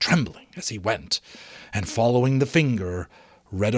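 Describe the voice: Simple, plain reading aloud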